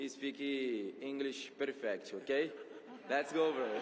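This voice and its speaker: A man with a Brazilian Portuguese accent speaks at a fairly slow pace and a fairly high pitch. Noticeable background noise and audible room echo surround him. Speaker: content creator. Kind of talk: award show speech. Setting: stage with audience. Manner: halting.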